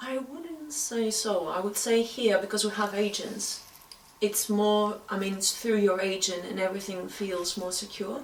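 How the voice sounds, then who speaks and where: A woman speaks at a moderate pace with a Greek accent. Audible room echo and noticeable background noise surround her voice. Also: medium pitch for a woman, ordinary pitch variation. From Greece. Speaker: actress and screenwriter. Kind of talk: interview.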